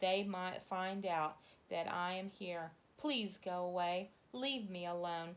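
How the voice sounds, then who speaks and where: In a put-on character voice with hissing, a woman of medium pitch speaks at a fairly slow pace with ordinary pitch variation. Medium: read story.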